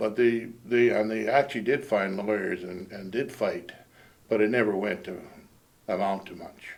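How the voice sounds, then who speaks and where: A man speaks with a western Canadian accent at a moderate pace. His intonation stays fairly even, though his loudness swings a lot. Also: fairly low pitch for a man. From British Columbia interior, Canada. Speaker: local resident recalling history. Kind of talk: oral history interview.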